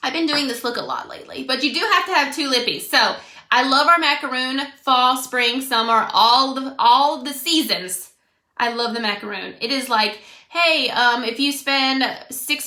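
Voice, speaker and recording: A woman with an American accent projects a raised voice in a high pitch with a bright, sharp tone and ordinary pitch variation. Audible room echo surrounds her. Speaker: makeup brand consultant. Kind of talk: casual livestream makeup tutorial. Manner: loud; animated.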